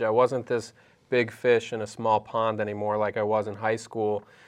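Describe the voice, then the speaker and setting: Moderate pace and medium pitch from a man with an unremarkable speaking voice, over a quiet background. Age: 30s. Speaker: comedian. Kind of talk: casual chat.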